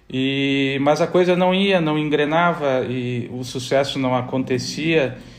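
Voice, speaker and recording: In a room with audible echo, a man speaks very slowly in a fairly high pitch, with ordinary pitch variation and hardly any pauses. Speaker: athletic trainer and former footballer. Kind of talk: casual interview.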